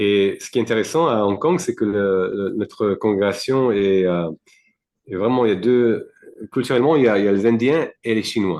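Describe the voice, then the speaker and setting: A man speaks at a moderate pace with a non-native accent. His fairly low pitch shows ordinary variation. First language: not French (speaking French). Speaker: devotee, temple community member. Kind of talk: interview. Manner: halting, many fillers.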